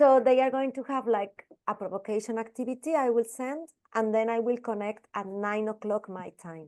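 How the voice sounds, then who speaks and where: A woman with a Spanish accent and a fairly high pitch speaks at a moderate pace, with ordinary pitch variation and big swings in loudness. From Spain. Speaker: primary school teacher. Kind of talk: casual chat. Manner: animated.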